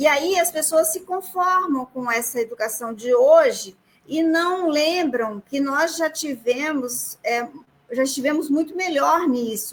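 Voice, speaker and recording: Her intonation is lively and her pitch high. This woman speaks at a very slow pace. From Ceará, Brazil. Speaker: federal prosecutor. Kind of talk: live stream interview. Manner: halting.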